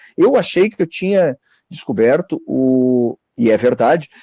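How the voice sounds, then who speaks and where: Dry and close with no echo, a man's dark, mellow tone carries lively intonation. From northern Santa Catarina, Brazil. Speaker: dentist. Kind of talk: casual chat. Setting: video call.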